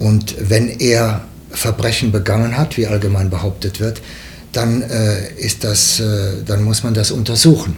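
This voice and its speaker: A man speaks at a fairly slow pace with a fairly low pitch and fairly even intonation. Noticeable background noise can be heard behind him. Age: 70s. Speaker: former TV news editor and foreign correspondent. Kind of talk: interview. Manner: halting, frequent fillers.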